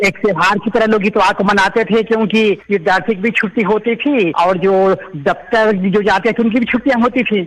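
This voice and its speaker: A man speaks in a high voice at a moderate pace, his loudness very even and his intonation fairly even, with noticeable background noise. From Chhattisgarh, Rajnandgaon. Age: 50s. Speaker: caller, visually impaired teacher. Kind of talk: radio phone-in chat. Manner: polite, deferential.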